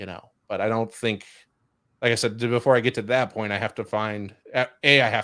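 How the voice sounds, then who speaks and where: A man's fairly low, flat, monotone voice with a Chicago accent, in a very clean recording with a silent background. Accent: Chicago Midwestern. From Chicago, US Midwest. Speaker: podcast host. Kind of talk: casual chat. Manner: fast.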